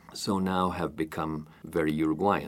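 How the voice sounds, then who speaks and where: Male speech, very clean recording, silent background. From Uruguay, Montevideo. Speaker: president of a community society. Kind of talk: interview. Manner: hesitant with fillers.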